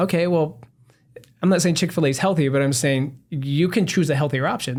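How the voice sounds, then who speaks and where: A man with an American accent speaks at a very fast pace. His fairly high voice shows ordinary pitch variation. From Southern California, San Diego. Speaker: doctor, health podcast co-host. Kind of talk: casual chat.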